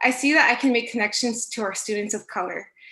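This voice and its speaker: The voice has a bright, sharp tone and ordinary pitch variation at a moderate pace. The background is quiet. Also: woman. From US, local school district. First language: Spanish. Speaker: school staff member. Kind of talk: prepared statement at board meeting. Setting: virtual school board meeting.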